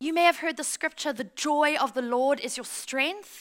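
Raised and projected, a woman's high voice with a South African accent sounds animated. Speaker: pastor. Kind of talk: sermon. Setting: church with live audience.

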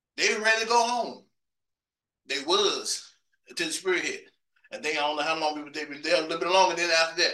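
A man speaks at a very fast pace and a high pitch, with an American accent. His pitch varies in an ordinary way, and he takes long, frequent pauses. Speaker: preacher. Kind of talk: testimony-laden sermon, recounting seeking the Holy Ghost. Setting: church. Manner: fervent, repetitive storytelling with stammered emphasis; conversational and self-joking, with laughter.

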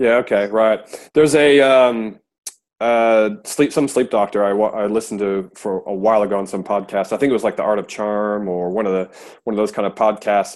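Speaking with a Midwestern accent, a man keeps his intonation fairly even. His pace is fairly quick. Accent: American Midwest. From US Midwest, Iowa. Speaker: podcast host, father. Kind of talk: casual interview chat; scripted intro.

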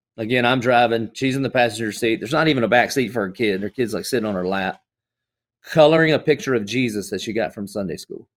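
In a very clean recording with a silent background, a man speaks at a very fast pace. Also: medium pitch for a man, ordinary pitch variation. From US South. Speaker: pastor. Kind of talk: casual chat. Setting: studio.

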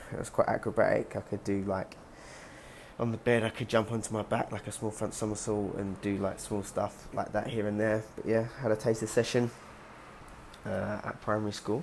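A fairly low-pitched man with a London accent, monotone and flat, at a moderate pace. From London, England. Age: 20s. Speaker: gymnast. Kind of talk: casual monologue podcast.

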